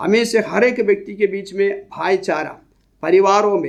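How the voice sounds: This is a man with a high pitch. His pitch variation is ordinary.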